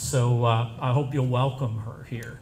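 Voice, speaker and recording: A man with a somewhat breathy voice speaks at a fairly slow pace, with audible room echo. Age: 60s. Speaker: professor. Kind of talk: speech at reception.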